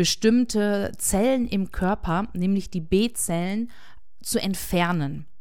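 Audible room echo fills the space. Within it, a woman talks. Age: 40s. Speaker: podcaster living with MS. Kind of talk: personal monologue.

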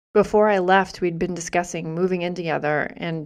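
Against a quiet background, a woman with an American accent talks at a moderate pace in a fairly low, monotone, flat voice. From US Northeast, Massachusetts. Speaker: podcaster and small business owner. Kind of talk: personal storytelling monologue.

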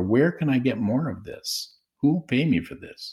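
A man speaks at a medium pitch with a dark, mellow tone that is somewhat breathy. The recording is very clean, with a silent background. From Saskatchewan, Canada. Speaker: professor of counseling psychology. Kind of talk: interview.

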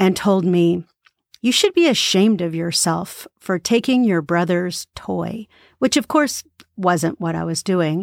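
On a very clean recording with a silent background and a dry, close sound with no echo, a woman speaks at a moderate pace in a normal speaking voice, medium in pitch with ordinary pitch variation. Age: 50s. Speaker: podcast host and author reading her own book. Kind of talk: casual spoken reflection; reading aloud from her book.

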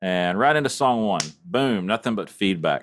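In a very clean recording with a silent background, a man with a Texan accent speaks at a fairly slow pace in a fairly low pitch with ordinary pitch variation. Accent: Texan US Southern. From East Texas. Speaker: church audio director. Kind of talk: casual chat.

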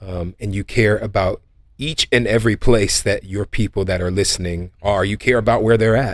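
Recorded very cleanly over a silent background, a man with a fairly low voice talks at a moderate pace. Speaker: nonprofit executive and podcast host.

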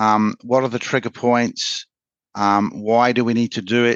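A man with a medium-pitched voice and an English accent, dry and close with no echo, over a quiet background. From England. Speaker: sales manager at a print technology company. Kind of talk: interview.

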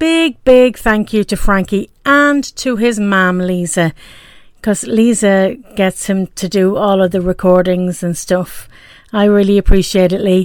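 With an Irish accent, a woman talks at a fairly slow pace using ordinary pitch variation. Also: medium pitch for a woman, very clean recording, silent background. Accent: Irish brogue. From Ireland, Dublin. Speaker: podcast host. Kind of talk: personal monologue podcast.

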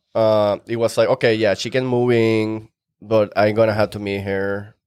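A man speaks at a medium pitch with a Venezuelan accent. The recording is very clean with a silent background and a dry, close sound with no echo. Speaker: real estate investor. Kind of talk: casual podcast interview.

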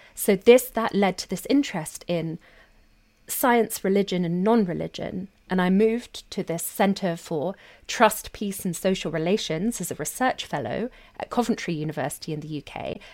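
With a London accent, a woman speaks in a medium pitch at a moderate pace, her intonation lively and her loudness swinging widely, on a very clean recording with a silent background. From South London, England. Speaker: sociologist and co-host. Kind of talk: casual conversation.

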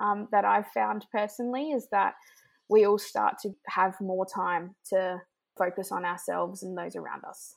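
A woman speaks at a moderate pace and medium pitch, with ordinary pitch variation and big swings in loudness. The recording is very clean, with a silent background. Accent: Australian. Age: 20s. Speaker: nonprofit program manager. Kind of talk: interview.

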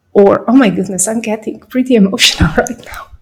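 The speaker has a non-native accent, sounds somewhat breathy, and keeps a fairly even intonation. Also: woman. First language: not English. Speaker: podcaster. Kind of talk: personal monologue.

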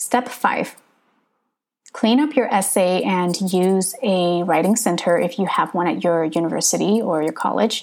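In a West Coast American accent, a woman speaks at a fairly slow pace and a medium pitch with ordinary pitch variation. The recording is very clean, with a silent background. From Northern California. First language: Hmong. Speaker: podcaster, prospective PhD student. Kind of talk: tutorial.

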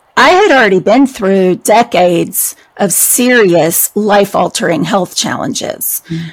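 A woman speaks very slowly. Her voice is fairly high, with ordinary pitch variation. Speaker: author and speaker on chronic illness. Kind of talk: casual chat. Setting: video call.

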